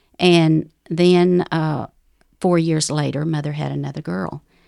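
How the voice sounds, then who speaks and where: A woman with a Southern US accent and fairly low pitch, at a fairly slow pace, in a very clean recording with a silent background. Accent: Southern US drawl. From US South, Ozark Mountains of North Arkansas. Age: 70s. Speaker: widow sharing life story. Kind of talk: testimony.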